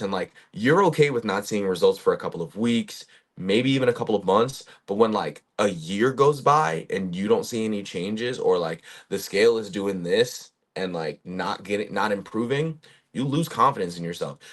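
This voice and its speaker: An ordinary speaking voice at a moderate pace. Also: man. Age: 20s. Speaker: fitness coach. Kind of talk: casual talking-head monologue. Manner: casual, conversational with fillers.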